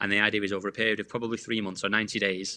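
A man with a fairly low, bright, sharp voice talks at a very fast pace over a quiet background. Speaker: sales coach. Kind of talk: podcast interview. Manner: animated.

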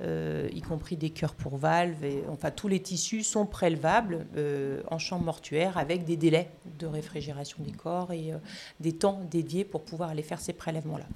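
A woman speaks with a very deep, low pitch. Her intonation is fairly even and her pace is moderate. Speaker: emergency physician. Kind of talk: interview. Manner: halting.

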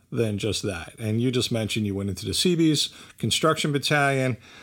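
A man with a New Jersey accent speaks at a moderate pace, his pitch rising and falling in an ordinary way. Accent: New Jersey American. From New Jersey, Bridgewater. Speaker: podcast host. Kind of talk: interview.

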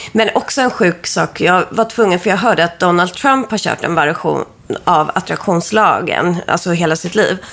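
A woman with a fairly low pitch, ordinary pitch variation and a moderate pace, with noticeable background noise. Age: 30s. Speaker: witch and astrology reader. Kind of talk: astrology reading; casual chat.

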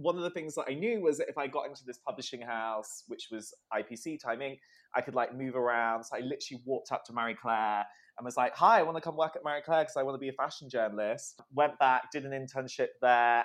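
A man talks at a very fast pace. His pitch is medium, with ordinary pitch variation. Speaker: magazine entertainment editor. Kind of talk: casual chat.

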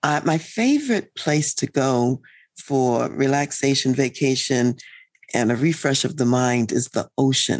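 A woman with a very deep, low pitch speaks at a fairly slow pace, with ordinary pitch variation and very even loudness. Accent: American. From US East Coast. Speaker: leadership consultant and psychologist. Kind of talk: interview.

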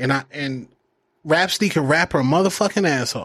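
A man with an American accent talks at a moderate pace with ordinary pitch variation. He has an unremarkable speaking voice. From Phoenix, Arizona. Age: 40s. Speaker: broadcaster and former rapper. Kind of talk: casual chat. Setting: studio.

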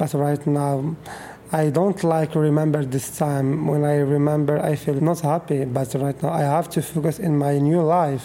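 A man with a fairly high pitch talks at a moderate pace in a monotone, flat intonation. Noticeable background noise is present. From Morocco, Fez. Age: 20s. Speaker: homeless youth interviewee. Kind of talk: interview testimony. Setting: at home. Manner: halting.

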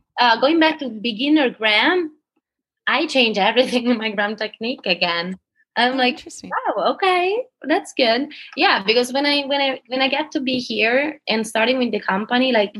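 A high-pitched woman with an Italian accent, lively intonation and a moderate pace. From Italy, Palermo. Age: 20s. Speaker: dancer. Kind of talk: casual chat.

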